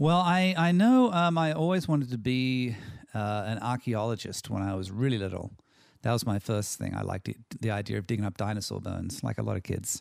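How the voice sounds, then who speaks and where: Over a very clean recording with a silent background, a man with an Australian accent talks at a fairly quick pace in a medium pitch with very wide pitch swings. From Australia (Sydney, from age six). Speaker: screenwriter and director. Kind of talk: interview conversation. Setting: home office.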